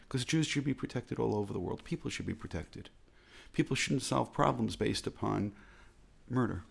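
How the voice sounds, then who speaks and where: Speaking very fast with an American accent, a man uses a medium pitch and vocal fry. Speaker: rabbi. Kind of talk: reflective talk.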